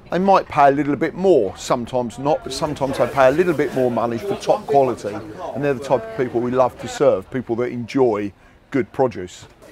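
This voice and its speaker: A man's very fast, lively-intoned speech over noticeable background noise. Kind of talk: interview answer. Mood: cheerful, enthusiastic. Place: market.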